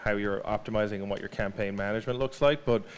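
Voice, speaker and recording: This man speaks with an Irish accent. His pitch is fairly low. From Ireland. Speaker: digital marketing speaker. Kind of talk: presentation. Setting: stage with audience. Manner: halting, many fillers and repeats.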